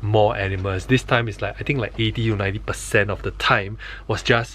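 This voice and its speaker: A man at a moderate pace over light background noise. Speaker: travel vlogger. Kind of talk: casual vlog chat. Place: tent. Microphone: phone near.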